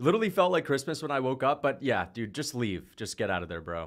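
Vocal fry runs through speech with very wide pitch swings, set against a quiet background. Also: man. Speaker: livestream host. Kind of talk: casual livestream chat reading super chats. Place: home room. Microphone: studio mic.

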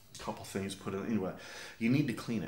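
There is audible room echo on this recording. A man talks at a fairly low pitch with ordinary pitch variation. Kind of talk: tutorial. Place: garage. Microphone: camera far.

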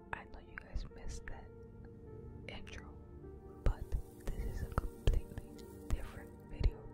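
Loud music fills the background as a man speaks at a moderate pace, stopping often for long pauses. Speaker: ASMR content creator. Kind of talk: ASMR trigger demonstration. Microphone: studio mic.

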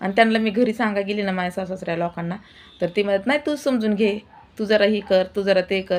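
This woman has an ordinary speaking voice, medium in pitch with ordinary pitch variation, captured in a very clean recording with a silent background. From Maharashtra, Indapur area. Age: 40s. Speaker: vlogger. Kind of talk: personal testimony vlog.

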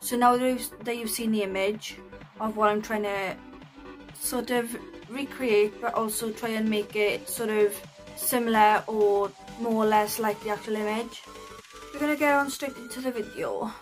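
Clear music plays in the background as a woman speaks at a moderate pace with fairly even intonation and long, frequent pauses. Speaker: face painting vlogger. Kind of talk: casual vlog chat. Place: home room. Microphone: camera far.

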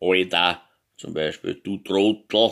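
A man speaks at a very slow pace in a fairly low pitch. The background is quiet. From Austria. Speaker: gaming YouTuber; vlogger. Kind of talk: opinion monologue. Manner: halting, many filler sounds. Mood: indignant, emphatic at end. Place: home room. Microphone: phone near.

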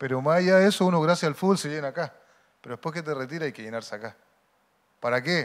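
Against a quiet background, a man with a fairly high pitch talks at a very fast pace, with ordinary pitch variation, big swings in loudness and long, frequent pauses. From Chile. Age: 50s. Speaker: football coaching instructor, former player; football coaching instructor. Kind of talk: lecture. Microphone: handheld.

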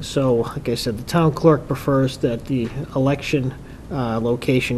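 At a moderate pace and with fairly even intonation, a man talks over light background noise. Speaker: town manager. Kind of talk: town board meeting. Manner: formal. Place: meeting room. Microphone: podium.

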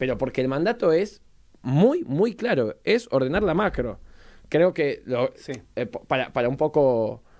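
A man speaks against a quiet background. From Argentina. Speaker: political consultant; interview guest, political analyst. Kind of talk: radio interview. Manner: halting. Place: studio. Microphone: studio mic.

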